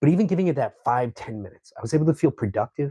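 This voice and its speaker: At a very fast pace, a man talks with lively intonation and a somewhat breathy quality. The sound is dry and close, with no echo. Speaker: painter. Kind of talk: casual vlog talk. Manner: stutters at times; conversational.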